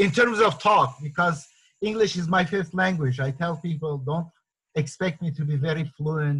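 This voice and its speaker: Speaking with a non-native accent, a man uses a fairly high pitch, ordinary pitch variation and a moderate pace. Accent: non-native, says pronunciation is horrible. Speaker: meeting organizer, activist author. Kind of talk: online group discussion moderation. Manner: hesitant, many fillers.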